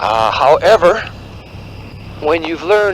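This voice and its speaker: With noticeable background noise, a man speaks at a moderate pace in a high pitch. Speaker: spiritual teacher. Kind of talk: spontaneous spiritual talk. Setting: outdoors walking on a mountain road. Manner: hesitant, many fillers.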